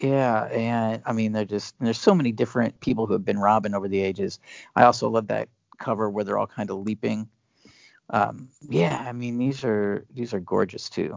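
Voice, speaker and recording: A man with an American accent and a normal speaking voice, fairly low in pitch, with fairly even intonation at a moderate pace. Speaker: co-host. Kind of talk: casual chat.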